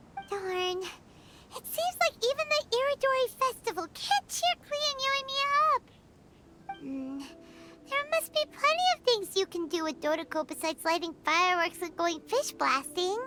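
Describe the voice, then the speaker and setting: A put-on character voice, squeaky and extremely high in pitch with very wide pitch swings, speaks at a moderate pace over music in the background. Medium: video game. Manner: chirpy, talkative.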